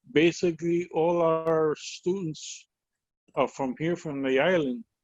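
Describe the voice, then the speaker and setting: A fairly high-pitched man's voice with a Puerto Rican accent, dry and close with no echo. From Puerto Rico. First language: Spanish. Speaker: educator. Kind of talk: webinar discussion. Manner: halting.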